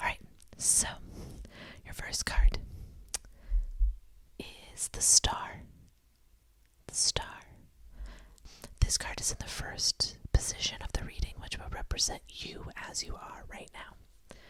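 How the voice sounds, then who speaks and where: Someone whispers in a gentle tone at a very slow pace, with long, frequent pauses. Noticeable background noise runs underneath. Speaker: ASMR tarot reader. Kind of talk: ASMR tarot reading, whispered affirmations. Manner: whispered, gentle.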